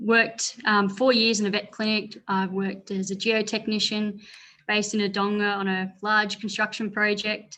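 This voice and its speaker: In an Australian accent, the speaker delivers a bright, sharp tone at a moderate pace with monotone, flat intonation. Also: woman. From northeast Victoria, Australia (rural). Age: 20s. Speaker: former political candidate and parliamentary adviser. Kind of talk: panel talk.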